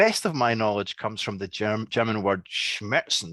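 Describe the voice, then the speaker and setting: A man's fairly low, fairly slow voice in a strong Scottish accent, dry and close with no echo, over a quiet background. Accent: thick Scottish. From Scotland. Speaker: academic researcher. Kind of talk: lecture. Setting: video call. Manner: slow, deliberate; hesitant, many fillers.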